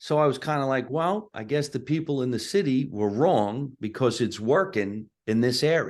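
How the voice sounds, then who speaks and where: Over a quiet background, a man with a strong New Jersey accent talks at a moderate pace, medium in pitch and lively in intonation. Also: hardly any pauses. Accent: thick New Jersey. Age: 60s. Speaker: comedian. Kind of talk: casual interview chat. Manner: animated.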